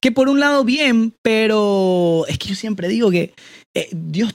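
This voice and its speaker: Recorded dry and close with no echo, a man speaks with very wide pitch swings. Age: 20s. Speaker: content creator and voice-over artist. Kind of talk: casual interview chat.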